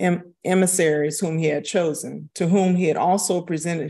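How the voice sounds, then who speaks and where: With an unremarkable speaking voice, a woman talks at a moderate pace and fairly low pitch, her intonation fairly even, against a quiet background. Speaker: co-host moderator. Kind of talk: live stream intro and scripture reading. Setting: live stream.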